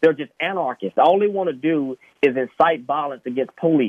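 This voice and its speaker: A man with an unremarkable speaking voice talks at a moderate pace, using ordinary pitch variation. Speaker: police officer. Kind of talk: radio interview.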